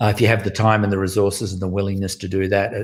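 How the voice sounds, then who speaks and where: A man's very fast speech at fairly low pitch. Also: very clean recording, silent background. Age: 60s. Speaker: founder of a music education organization. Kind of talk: interview.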